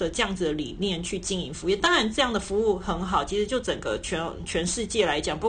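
A woman with a plain, everyday voice talks at a moderate pace, her medium pitch showing ordinary variation. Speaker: podcast host. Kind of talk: casual chat.

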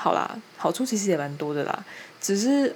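The speaker has a Taiwanese accent and lively intonation. Noticeable background noise runs underneath. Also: woman. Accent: Taiwanese Mandarin. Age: young. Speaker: podcaster. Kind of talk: casual chat.

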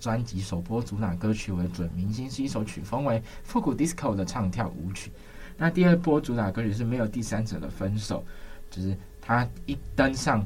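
Lively in intonation, the man's voice comes across as somewhat breathy. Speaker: campus radio host. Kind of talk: radio music show chat. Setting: radio studio.

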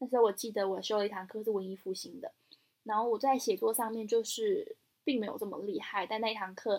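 In a Taiwanese accent, a woman talks at a very fast pace with a fairly high pitch and fairly even intonation. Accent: Taiwanese Mandarin. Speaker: podcast co-host. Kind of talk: casual chat.

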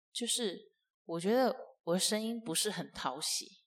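The woman has an ordinary speaking voice. She moves fairly slowly, with ordinary pitch variation. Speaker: podcast host and entrepreneur. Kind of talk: casual solo podcast monologue. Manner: chatty with frequent fillers.

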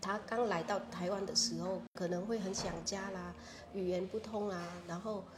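Audible room echo surrounds a woman speaking at a moderate pace in a Vietnamese accent, her medium-pitched voice flat and monotone. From Vietnam, Phu Tho province near Hanoi. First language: Vietnamese (speaking Chinese). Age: 40s. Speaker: shop founder and association chair. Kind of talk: interview.

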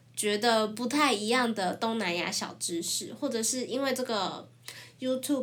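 A woman's voice, fairly high and moderately paced, with audible echo from the room. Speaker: former student program organizer. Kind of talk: casual chat.

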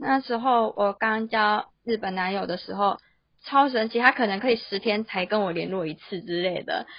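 At a moderate pace, a woman with a fairly high pitch and ordinary pitch variation speaks in an ordinary speaking voice. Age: 20s. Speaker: office worker and illustrator. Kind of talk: casual interview.

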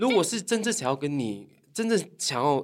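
A man's voice with very wide pitch swings on a very clean recording against a silent background. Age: young. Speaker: Japanese language YouTuber and teacher. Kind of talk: casual chat.

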